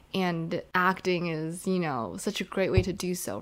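A woman speaks in a normal speaking voice, fairly low in pitch for a woman, with fairly even intonation at a moderate pace. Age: 20s. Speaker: podcast co-host. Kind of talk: casual chat.

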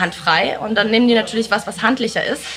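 A woman speaks with a fairly high pitch over noticeable background noise. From East Belgium. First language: not German (speaking German). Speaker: entrepreneur and mother. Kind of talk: casual chat.

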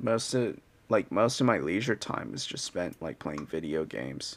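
Heard on a very clean recording with a silent background, a man shows vocal fry. His pitch swings very widely while his pace stays moderate. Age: 20s. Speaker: solo podcaster. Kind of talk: casual solo monologue. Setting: home recording with cheap mic. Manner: halting, many fillers and restarts.

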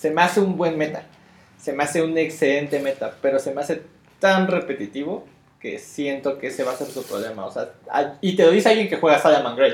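A man's unremarkable speaking voice, fairly high in pitch, at a fairly quick pace with ordinary pitch variation. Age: 30s. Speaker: card game player, co-host. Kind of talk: casual chat.

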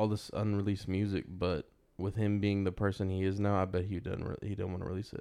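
Here is a man with an ordinary speaking voice and an American accent. He talks at a fairly low pitch and a fairly quick pace. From Texas. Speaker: podcast host. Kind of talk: casual chat.

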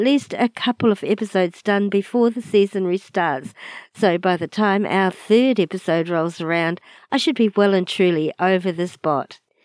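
A woman's medium-pitched voice with ordinary pitch variation at a moderate pace, dry and close with no echo, on a very clean recording with a silent background. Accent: New Zealand. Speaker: podcast host. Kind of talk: podcast intro narration.

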